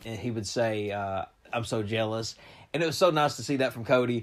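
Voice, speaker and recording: On a very clean recording with a silent background, a man speaks in a Southern US accent with ordinary pitch variation. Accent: southern drawl. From eastern Kentucky. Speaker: podcast host. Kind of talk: casual chat.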